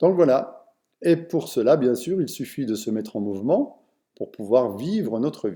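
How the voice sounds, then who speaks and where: Using a medium pitch and a dark, mellow tone, a man speaks at a fairly slow pace with lively intonation. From France, Vosges. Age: 60s. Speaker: personal development speaker. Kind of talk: online lecture. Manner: halting, with many fillers.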